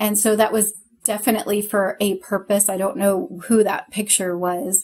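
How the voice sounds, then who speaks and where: A woman speaks at a fairly high pitch with a somewhat breathy quality. Her pace is fairly slow. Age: 40s. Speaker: podcast co-host. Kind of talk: casual chat. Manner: animated, laughs often.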